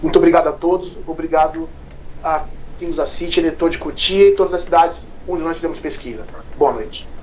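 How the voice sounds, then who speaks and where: Amid noticeable background noise, a man talks at a fairly quick pace but leaves long, frequent pauses. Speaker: news show host / polling partner. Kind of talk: live news discussion. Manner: talkative.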